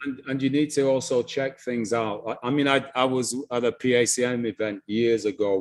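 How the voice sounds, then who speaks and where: A man with a Lancashire accent speaks at a moderate pace and a medium pitch, his intonation fairly even and his speech hardly broken by pauses. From northern England (Blackburn, Lancashire). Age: 60s. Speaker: African history presenter. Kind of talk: interview conversation. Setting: live stream.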